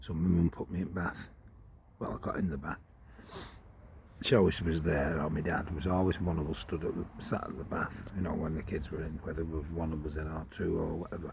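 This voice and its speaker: The man's voice is very deep and low in pitch. He talks at a fairly quick pace with monotone, flat intonation. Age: 60s. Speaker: vlogger. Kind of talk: casual monologue. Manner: rambling conversational.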